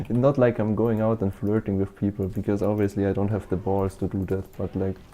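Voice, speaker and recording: Over music in the background, a man with a German accent talks fairly quickly at a fairly low pitch. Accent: German-speaking accent in English. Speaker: VTuber gaming streamer. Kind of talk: casual chat. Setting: live stream. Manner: fast, rambling filler-heavy talk.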